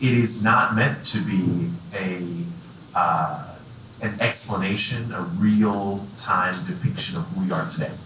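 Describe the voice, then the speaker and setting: A man's fairly low voice at a fairly slow pace, lively intonation, light background noise and audible room echo. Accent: American. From US East Coast. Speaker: economic development executive, panelist; panelist. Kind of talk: panel discussion. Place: hall.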